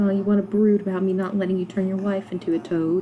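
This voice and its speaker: Noticeable noise runs behind a woman talking at a mid-range pitch and an average speed. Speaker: gaming YouTuber. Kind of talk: gameplay commentary. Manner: casual, with fillers.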